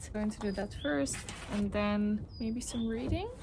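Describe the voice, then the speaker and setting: In a room with audible echo, a woman speaks with a Dutch accent. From Netherlands. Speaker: lifestyle vlogger. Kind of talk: vlog talking to camera. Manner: casual, reflective.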